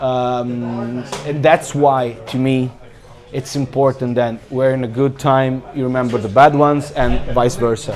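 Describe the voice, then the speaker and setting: A fairly slow, monotone, flat delivery over noticeable background noise. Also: man, medium pitch for a man. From Italy, Bologna. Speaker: football fan. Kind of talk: interview. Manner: halting.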